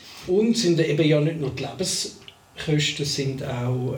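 Noticeable background noise and audible room echo accompany a man speaking at a very slow pace. His pitch is fairly high, with ordinary pitch variation. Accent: Swiss. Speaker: podcast co-host. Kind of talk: casual chat. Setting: studio recording with cameras.

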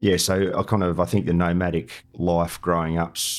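In a very clean recording with a silent background, a man with an Australian accent speaks at a very deep, low pitch with ordinary pitch variation. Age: 50s. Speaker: war veteran. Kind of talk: interview.

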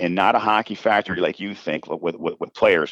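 In a dry, close sound with no echo, a man with a Minnesota accent speaks at a fairly low pitch. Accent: Upper Midwest Minnesota. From Minnesota Iron Range, Coleraine. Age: 50s. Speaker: college hockey coach. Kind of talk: casual interview chat. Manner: energetic.

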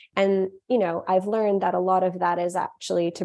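Against a quiet background, a woman speaks at a medium pitch with a Western Canadian accent. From Canada, Vancouver. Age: 20s. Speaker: food company founder. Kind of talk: interview.

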